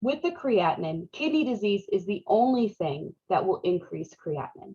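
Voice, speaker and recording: A woman speaks at medium pitch and a moderate pace, her voice somewhat breathy with a dark, mellow tone. Her pitch swings very widely. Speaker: nursing instructor. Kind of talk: lecture. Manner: casual, conversational.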